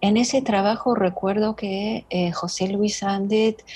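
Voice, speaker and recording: The speaker has a non-native accent and a very slow pace. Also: woman. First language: not Spanish (speaking Spanish). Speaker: writer. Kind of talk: interview conversation. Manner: halting, many fillers.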